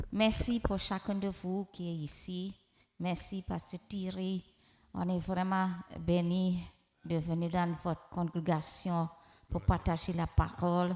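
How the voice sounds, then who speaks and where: The speech comes at a very slow pace with long, frequent pauses. The intonation stays monotone and flat. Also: woman. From Trinidad, rural village, Indian descent. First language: Hindi (speaking French). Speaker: prophetess, visiting preacher. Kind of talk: sermon. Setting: church with congregation.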